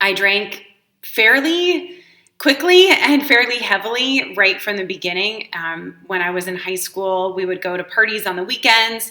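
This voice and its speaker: A woman speaks at a medium pitch with lively intonation. Her pace is fairly slow. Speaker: life coach. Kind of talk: personal testimony. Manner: casual with many fillers.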